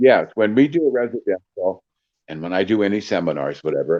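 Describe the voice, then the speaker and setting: A man speaks in a dark, mellow tone at a fairly low pitch. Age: 60s. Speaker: psychic medium. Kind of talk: casual interview chat. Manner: animated.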